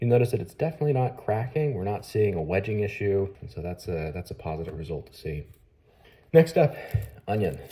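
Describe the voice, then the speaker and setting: A man's fairly low, dark and mellow, somewhat breathy voice at a fairly quick pace, with very wide pitch swings and big swings in loudness. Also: very clean recording, silent background. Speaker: knife reviewer. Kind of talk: product review tutorial.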